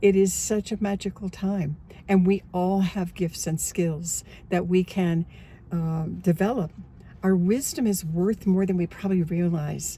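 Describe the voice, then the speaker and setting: A woman with an American accent speaks at a fairly slow pace in a medium pitch, her dark, mellow tone somewhat breathy and her intonation fairly even. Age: 70s. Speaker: online coach and memoir author. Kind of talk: casual talk to camera.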